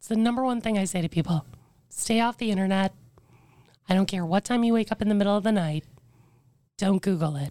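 A quiet woman speaks very fast at a medium pitch, with a dark, mellow tone, ordinary pitch variation and long, frequent pauses. The sound is dry and close, with no echo. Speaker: former radio personality living with cancer. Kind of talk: candid interview conversation. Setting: in person recording. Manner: cannot raise voice, quiet.

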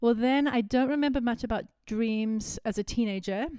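Speaking at a moderate pace, a woman has an American accent. Her tone is warm, dark and mellow, on a very clean recording with a silent background. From South Africa, Cape Town. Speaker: prophetic intercessor. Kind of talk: personal testimony interview. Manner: warm, reflective, laughs often.

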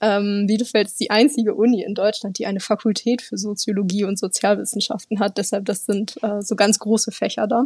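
A woman talks at a fairly quick pace with fairly even intonation and hardly any pauses, over noticeable background noise. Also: medium pitch for a woman. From northern Germany, near Bremen. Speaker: intern at an exchange organisation. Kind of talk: interview.

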